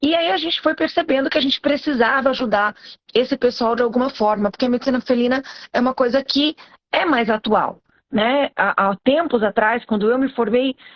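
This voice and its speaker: A woman's high-pitched voice at a fairly quick pace, with very even loudness and ordinary pitch variation. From Brazilian countryside. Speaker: veterinarian and postgraduate teacher. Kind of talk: live stream talk, educational. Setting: live stream.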